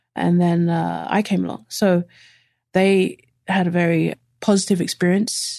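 A woman speaks with a London accent at a fairly slow pace. The background is quiet. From East London. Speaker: lawyer-turned-soccer coach. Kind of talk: casual interview chat.

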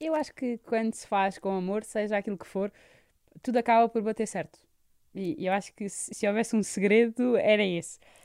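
A woman with a normal speaking voice talks at a moderate pace and a fairly high pitch, with ordinary pitch variation. Her loudness swings a lot, and the sound is dry and close with no echo. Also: very clean recording, silent background. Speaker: palliative care nurse. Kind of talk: radio interview.

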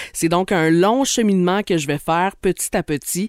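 A man speaks with a high pitch and ordinary variation. The recording is very clean with a silent background, and the sound is dry and close with no echo. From Outaouais, Quebec (Gatineau). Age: 30s. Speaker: radio host and podcaster. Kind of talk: scripted narration.

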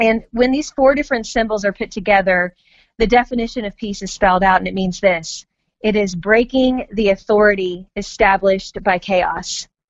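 A woman with an American accent uses an ordinary speaking voice at a medium pitch, with ordinary pitch variation and a moderate pace. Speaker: author and mother. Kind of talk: interview. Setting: phone call.

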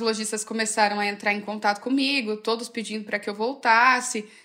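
Bright and sharp in tone, a woman with a fairly high pitch speaks at a moderate pace and with fairly even intonation, recorded very cleanly against a silent background. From Brazil, Campinas (São Paulo state). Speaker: fashion influencer. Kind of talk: interview.

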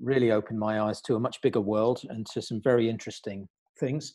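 A man's dark, mellow voice at medium pitch with a British accent, fairly even in intonation, over a quiet background. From Britain. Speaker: career coach. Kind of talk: podcast interview. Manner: halting, with many repeated words.

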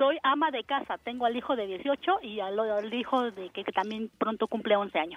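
A woman speaks with hardly any pauses, her pitch fairly high with ordinary variation. Hers is an unremarkable speaking voice. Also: fairly slow pace. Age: 40s. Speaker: caller, housewife. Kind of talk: casual phone chat, telling a personal story.

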